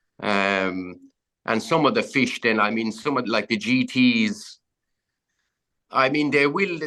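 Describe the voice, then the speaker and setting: Lively intonation marks a man's medium-pitched voice in an Irish accent. He talks at a very slow pace with long, frequent pauses. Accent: Irish (Clare). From County Clare, Ireland. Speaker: fly fishing guide. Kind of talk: podcast interview answer. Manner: casual, chatty.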